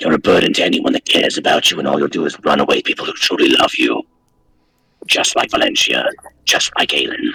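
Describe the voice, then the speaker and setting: A man puts on a character voice at an extremely high pitch. He talks very fast. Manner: grumbling under its breath, spiteful; spicy, cruel.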